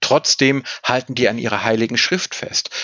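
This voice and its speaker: This man has an ordinary speaking voice, medium in pitch, and he talks at a moderate pace. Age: 40s. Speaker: state official on antisemitism, religious scholar. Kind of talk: interview.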